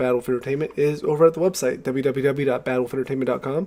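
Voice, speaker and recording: Through noticeable background noise, a man with a fairly high pitch speaks at a very fast pace. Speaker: podcast co-host. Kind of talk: casual chat. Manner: unenthusiastic.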